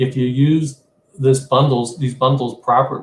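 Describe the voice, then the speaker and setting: Somewhat breathy and medium in pitch, a man's voice moves at a moderate pace with monotone, flat intonation. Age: 60s. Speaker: trader. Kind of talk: trading webinar screen-share walkthrough. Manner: halting, many fillers and repeats.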